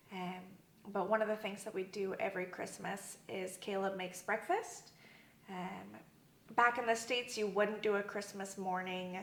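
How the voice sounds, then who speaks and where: A woman speaks at a moderate pace and medium pitch in a monotone, flat way, with audible room echo and noticeable background noise. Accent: American. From US Southwest, Arizona. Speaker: church member. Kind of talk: interview. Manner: casual with many fillers.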